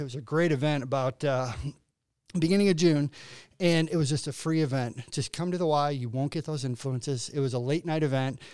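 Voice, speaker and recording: A man with a Midwestern American accent, fairly high pitch, ordinary pitch variation and a fairly quick pace, on a very clean recording with a silent background. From northern Illinois (LaSalle-Peru). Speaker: nonprofit CEO. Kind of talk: interview.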